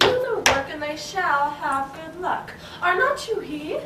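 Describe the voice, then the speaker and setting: A put-on character voice at extremely high pitch speaks at a fairly slow pace. Loud background noise and a slight echo fill the recording. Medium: stage play.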